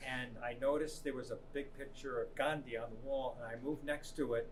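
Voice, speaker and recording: A man at a fairly quick pace with fairly even intonation, amid audible room echo and noticeable background noise. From New York City area, US. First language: Italian. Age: 70s. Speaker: substitute teacher. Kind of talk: interview. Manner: halting.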